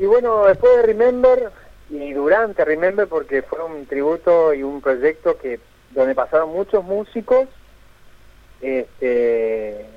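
At a fairly slow pace, a man talks with a fairly high pitch and very wide pitch swings. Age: 40s. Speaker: musician. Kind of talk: radio phone interview. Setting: phone call.

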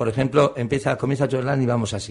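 A man's somewhat breathy voice. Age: 50s. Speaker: radio host. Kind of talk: casual radio interview. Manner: halting.

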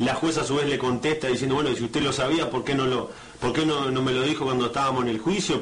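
A man's voice amid noticeable background noise and audible room echo. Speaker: radio host. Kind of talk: radio interview. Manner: halting.

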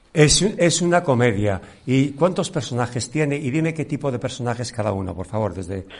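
A man's somewhat breathy voice at a medium pitch, fairly quick pace, and very wide pitch swings. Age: 60s. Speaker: radio host and actor. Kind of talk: radio interview. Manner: halting.

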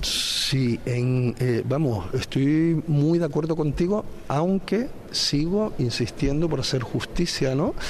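Lively intonation from a man at medium pitch, his loudness very even, with noticeable background noise. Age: 40s. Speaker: conflict resolution institute director. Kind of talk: interview. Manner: halting.

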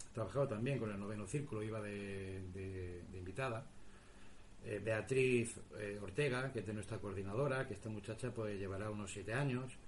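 At a moderate pace, a somewhat breathy voice speaks with fairly even intonation amid audible room echo. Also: man, fairly low pitch for a man. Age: 40s. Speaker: radio host and paranormal investigator. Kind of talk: interview answers. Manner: halting, repeats words.

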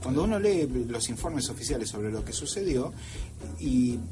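Over music in the background and with audible room echo, a man at medium pitch speaks at a moderate pace with very wide pitch swings. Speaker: radio science columnist. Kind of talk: radio talk show segment.

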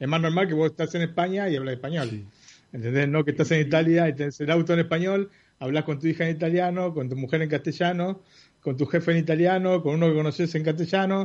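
A man with a Rioplatense accent, fairly high pitch, fairly even intonation and a very fast pace. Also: quiet background. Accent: Argentine Spanish (rioplatense). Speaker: tech podcast panelist. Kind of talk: casual chat.

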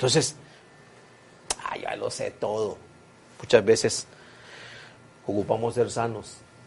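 Amid noticeable background noise, a man talks with long, frequent pauses. His loudness swings widely. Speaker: preacher. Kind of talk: sermon. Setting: church. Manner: animated, earnest, exhorting with repetition.

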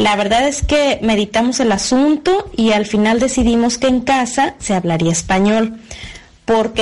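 Over noticeable background noise, a woman speaks at a fairly slow pace with a fairly high pitch and ordinary pitch variation. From Mexico, Guadalajara. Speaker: mother, expatriate. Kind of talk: testimony.

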